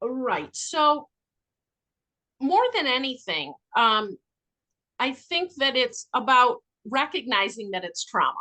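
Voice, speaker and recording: A woman's raised, projected voice, high-pitched and bright and sharp in tone, with very wide pitch swings, a very slow pace and long, frequent pauses. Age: 60s. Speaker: addiction intake counselor and trauma specialist. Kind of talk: podcast interview.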